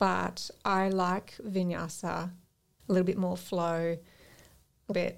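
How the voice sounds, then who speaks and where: In an Australian accent, a woman speaks with monotone, flat intonation. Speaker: yoga teacher and make-up artist. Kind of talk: casual chat. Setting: studio.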